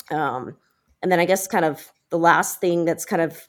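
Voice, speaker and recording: A woman with an ordinary speaking voice and an American accent speaks at a moderate pace and a fairly low pitch, in a very clean recording with a silent background. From US South, small-town Alabama. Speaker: venture capital investor. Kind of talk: interview. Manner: many fillers (um, uh).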